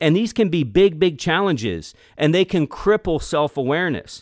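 A man speaks in an energetic, intense tone. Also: very clean recording, silent background. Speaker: podcast host, leadership coach. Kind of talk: solo monologue podcast.

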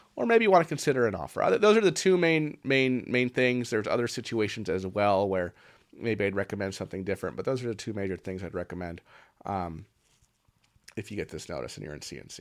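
A man with a fairly low pitch talks at a very fast pace, his intonation lively and his loudness swinging widely. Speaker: accountant explaining tax notices. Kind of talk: tutorial. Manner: casual with frequent fillers.

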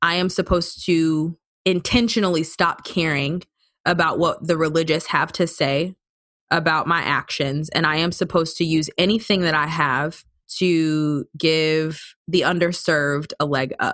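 Using an ordinary speaking voice, a woman with an American accent speaks at a moderate pace with fairly even intonation, in a very clean recording with a silent background. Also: fairly low pitch for a woman, very even loudness. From Detroit, Michigan. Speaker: former youth pastor, finance teacher. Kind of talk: interview answers, recorded separately.

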